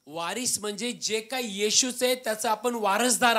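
A man's raised, projected voice comes across animated, with a bright, sharp tone. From Maharashtra, India. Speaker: pastor. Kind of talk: sermon. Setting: church. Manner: animated, emphatic preaching with repeated 'no, no, no' and call-and-response; fervent. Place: home room. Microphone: handheld.

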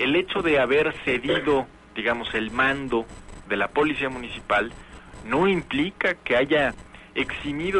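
A man talks fairly slowly with a little noise in the background. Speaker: radio guest or co-host. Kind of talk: radio panel discussion. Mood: critical, argumentative. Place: studio. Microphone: studio mic.

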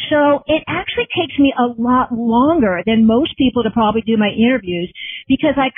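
A woman talks at a fairly quick pace in an energetic tone, high-pitched with lively intonation. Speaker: journalist. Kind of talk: interview. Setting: phone call.

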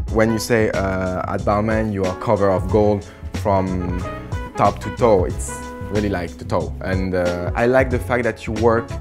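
Clear music plays in the background as a man with a French accent speaks at a moderate pace in a very deep, low pitch. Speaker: fashion creative director. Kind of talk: interview answer. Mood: enthusiastic, relaxed. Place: office.

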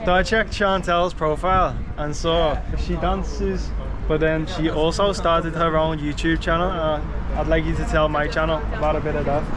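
Over noticeable background noise, this man speaks at a moderate pace. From grew up in Liverpool. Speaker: YouTube vlogger, street interviewer. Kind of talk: casual vlog chat. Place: street. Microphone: phone near.

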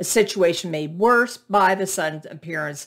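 A woman with a fairly low-pitched, unremarkable speaking voice. The background is quiet. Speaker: book reviewer. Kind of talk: reading a book synopsis. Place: home room. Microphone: webcam.

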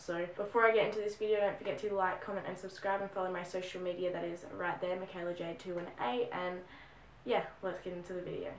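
Using a raspy, put-on character voice, a woman talks fairly quickly at a medium pitch with fairly even intonation. Clear background noise runs behind her. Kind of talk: casual vlog chat. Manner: talking fast.

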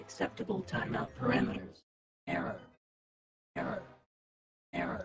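A put-on, robotic character voice with a very deep, low pitch moves at a moderate pace with long, frequent pauses.

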